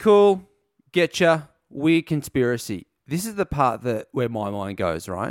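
Fairly slow speech in an Australian accent. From Gold Coast, Australia. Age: 30s. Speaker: podcast host. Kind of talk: casual chat.

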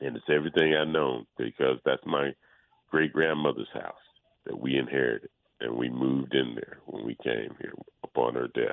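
In a very deep, low voice, a man talks at a moderate pace with fairly even intonation. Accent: Mississippi. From Mississippi Delta, US South. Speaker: son of a civil rights activist. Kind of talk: radio interview.

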